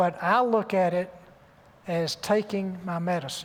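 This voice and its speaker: A man with a Southern US accent speaks in a high voice. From US South. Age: 70s. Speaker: surgeon and author. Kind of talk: interview on stage.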